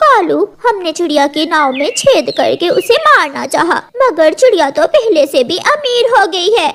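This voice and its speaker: A female-sounding cartoonish character voice talks at a moderate pace with extremely high pitch. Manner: spiteful, scheming.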